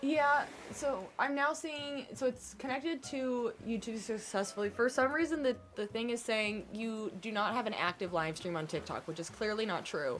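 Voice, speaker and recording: Amid noticeable background noise, a woman talks at a moderate pace with hardly any pauses. Her pitch is fairly high and her intonation lively. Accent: American. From US Midwest, Kansas City. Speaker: gaming streamer. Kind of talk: casual live stream chat. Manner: chatty, rambling.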